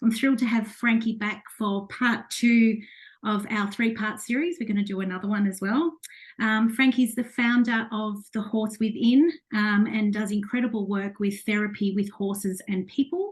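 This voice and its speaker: Somewhat breathy, a woman speaks with a fairly high pitch and fairly even intonation. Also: moderate pace. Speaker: podcast host. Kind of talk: interview host introduction.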